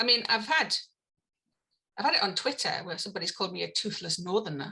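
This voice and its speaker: The voice has a bright, sharp tone, lively intonation and a very fast pace. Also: woman, medium pitch for a woman. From northeast England, County Durham. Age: 50s. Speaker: evolutionary theory scholar and comedian. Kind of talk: podcast interview conversation. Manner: hesitant, many fillers and restarts.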